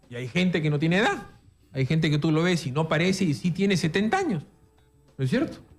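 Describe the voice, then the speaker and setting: A very fast pace with long, frequent pauses from a man with a Peruvian accent and a high pitch, ordinary pitch variation, and music in the background. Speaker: radio host. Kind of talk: talk radio interview.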